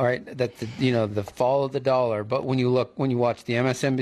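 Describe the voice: Intonation is fairly even in this plain reading aloud.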